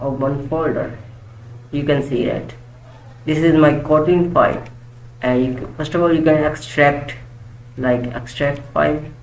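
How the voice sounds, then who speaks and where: Fairly slow delivery with long, frequent pauses and noticeable background noise. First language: not English. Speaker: programming tutor. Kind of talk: tutorial. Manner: halting.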